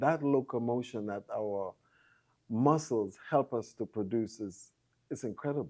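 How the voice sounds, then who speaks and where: A man talks at a fairly slow pace in an unremarkable speaking voice. His pitch is medium, with ordinary variation. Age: 60s. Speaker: massage therapist. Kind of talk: interview.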